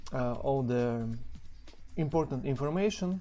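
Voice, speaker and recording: Fairly slow speech in a strong non-native accent, with music in the background. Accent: heavy non-native English. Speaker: game level designer. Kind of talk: developer commentary over gameplay. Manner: hesitant, many fillers.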